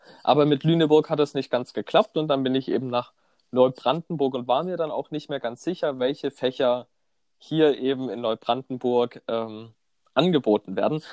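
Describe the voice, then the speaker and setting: A man with a plain, everyday voice and medium pitch speaks at a moderate pace with ordinary pitch variation. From southern Germany, Konstanz on Lake Constance. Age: 20s. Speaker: student podcast co-host. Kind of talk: casual chat.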